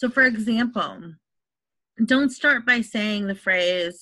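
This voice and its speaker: Recorded very cleanly against a silent background, a woman with an American accent talks at a fairly slow pace in a bright, sharp tone, her fairly high pitch showing ordinary variation. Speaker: online instructor presenting at faculty meeting. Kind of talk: presentation at a staff training meeting.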